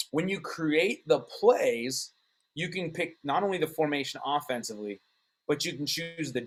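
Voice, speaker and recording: Using a normal speaking voice, a man speaks at a moderate pace. His pitch is fairly high and his intonation lively. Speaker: football coach. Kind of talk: tutorial.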